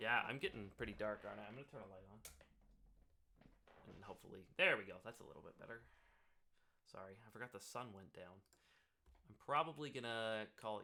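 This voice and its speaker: A man speaks with long, frequent pauses. His pitch is medium, with ordinary variation. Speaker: music live streamer. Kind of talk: live stream tutorial. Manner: getting louder over time.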